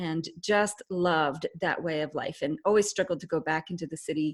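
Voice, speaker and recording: A woman with a Canadian accent speaks in an ordinary speaking voice at a moderate pace, with a fairly low pitch and ordinary pitch variation. The recording is very clean, with a silent background. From Canada. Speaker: leadership expert and author. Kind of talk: interview.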